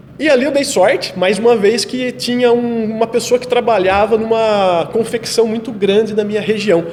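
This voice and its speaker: Noticeable background noise accompanies a man whose pitch is high and whose pace is moderate. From Brazil, interior of São Paulo state (Itapira). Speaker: photographer. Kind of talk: podcast interview. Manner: halting, repeats words.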